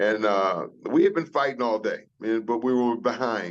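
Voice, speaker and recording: Here is a man with an unremarkable speaking voice and an American accent. His pitch is fairly low, with ordinary variation at a moderate pace. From US South. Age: 60s. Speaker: retired football player. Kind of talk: casual chat.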